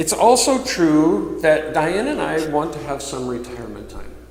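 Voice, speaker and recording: Here a man talks at a fairly slow pace. The recording has audible room echo and noticeable background noise. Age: 60s. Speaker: minister. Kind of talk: sermon. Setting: church.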